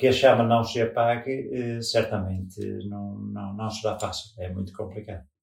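A man's somewhat breathy voice at a fairly slow pace, with fairly even intonation. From northern Portugal. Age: 50s. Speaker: parishioner. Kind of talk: interview. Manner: halting.

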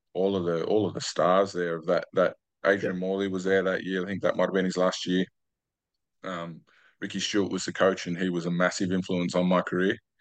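A man's very deep, low voice with an Australian accent, monotone and flat, at a fairly quick pace over a quiet background. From Australia, New South Wales Central Coast. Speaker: retired rugby league player. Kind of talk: interview.

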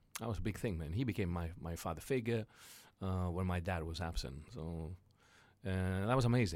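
With a Greek accent, a man speaks at a very deep, low pitch with ordinary pitch variation on a very clean recording with a silent background. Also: moderate pace. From Greece, Thessaloniki. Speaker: entrepreneur. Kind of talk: interview, life story. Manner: animated.

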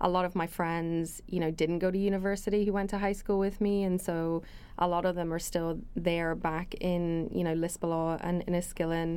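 Speaking at a moderate pace with hardly any pauses, a woman with an American accent has a fairly low pitch, a dark, mellow tone, very even loudness, and a monotone, flat intonation. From Northern Ireland. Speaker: technology executive, alumna. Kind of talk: interview, casual conversation.

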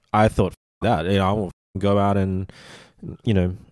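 Recorded very cleanly against a silent background, this voice has a dark, mellow tone and an Australian accent. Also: man. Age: 40s. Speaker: podcast host. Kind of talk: casual interview.

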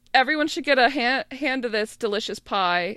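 With a high pitch and a bright, sharp tone, a woman speaks at a moderate pace with ordinary pitch variation. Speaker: podcast co-host. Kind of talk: casual chat.

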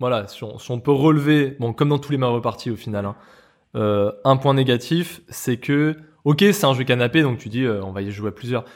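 Over a very clean recording with a silent background, a man speaks in a normal speaking voice at a moderate pace with ordinary pitch variation. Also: medium pitch for a man. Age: 30s. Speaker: video game podcast co-host. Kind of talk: casual chat.

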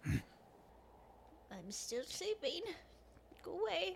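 A female-sounding voice puts on a character voice at a high pitch with very wide pitch swings, over clear background noise. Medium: actual play. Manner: folksy, grandmotherly, teasing.

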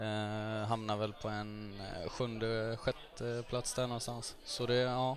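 Monotone and flat, a man of medium pitch speaks at a fairly slow pace. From Gothenburg, Sweden. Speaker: footballer. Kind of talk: casual chat.

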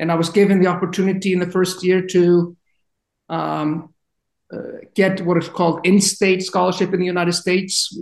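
A man with an Icelandic accent, high in pitch, at a fairly quick pace with monotone, flat intonation. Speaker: university administrator, former football player. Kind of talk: interview. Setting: podcast recording.

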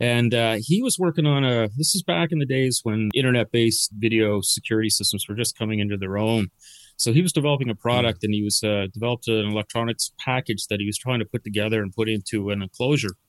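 A man with a Canadian Maritime accent talks at a very fast pace with hardly any pauses, at medium pitch with ordinary pitch variation. The recording is dry and close, with no echo. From Nova Scotia, Canada (Dartmouth). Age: 50s. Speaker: company CEO. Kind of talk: interview.

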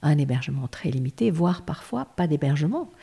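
The tone is dark and mellow, somewhat breathy. Delivery comes at a fairly quick pace with lively intonation. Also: woman. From Lebanon. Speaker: lawyer. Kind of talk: interview.

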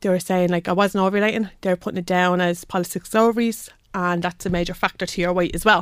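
In a Dublin accent, a woman at medium pitch talks at a very fast pace with hardly any pauses and monotone, flat intonation, recorded very cleanly against a silent background. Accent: Irish (Dublin). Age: 30s. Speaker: healthcare assistant. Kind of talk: interview. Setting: studio.

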